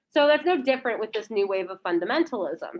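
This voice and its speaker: The voice is loud, with very wide pitch swings. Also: woman. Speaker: high school history teacher. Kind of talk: lecture.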